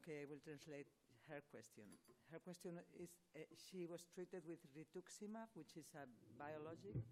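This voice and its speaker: Dark, mellow tone from a woman with a very deep, low pitch, average speed and normal pitch movement. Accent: Spanish. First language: Spanish. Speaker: rheumatology professor answering patient questions. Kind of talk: expert Q&A answering audience. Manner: halting, many false starts.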